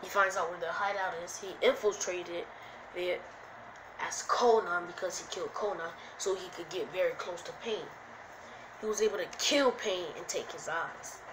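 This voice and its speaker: A woman speaks at a medium pitch and a moderate pace. The room has audible echo, and background noise is noticeable. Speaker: YouTuber telling fan-fiction story. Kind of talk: improvised storytelling. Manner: casual, halting.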